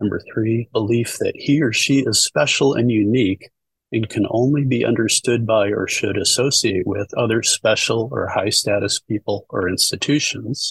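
At a moderate pace, a man speaks with hardly any pauses in a dry, close sound with no echo. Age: 60s. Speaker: retired near-death experiencer, video channel creator. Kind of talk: casual chat. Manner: halting.

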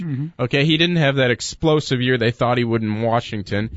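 A man speaks fairly quickly in an ordinary speaking voice, his pitch varying in an ordinary way. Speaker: co-host sports talk. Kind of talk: casual sports talk radio.

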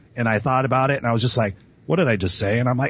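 Energetic in tone, a man with a Californian accent talks at a very fast pace. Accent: Californian American English. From Los Angeles (Inglewood). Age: 40s. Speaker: motivational speaker and coach. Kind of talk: interview.

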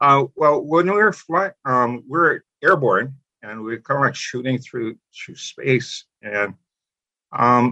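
A man with a Hawaiian accent, fairly high pitch, lively intonation, a bright, sharp tone, big swings in loudness, a very slow pace and long, frequent pauses. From Hawaii, Molokai. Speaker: retired teacher and spiritual practitioner. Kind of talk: interview, personal story.

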